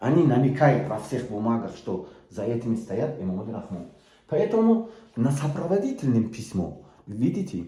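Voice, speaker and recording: Moderate pace, medium pitch and very wide pitch swings mark this man with a Tajik accent. Room echo is audible. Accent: Tajik-accented Russian. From Tajikistan, Sughd region. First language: Tajik (speaking Russian). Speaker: political activist. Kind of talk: video appeal. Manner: halting, many hesitations.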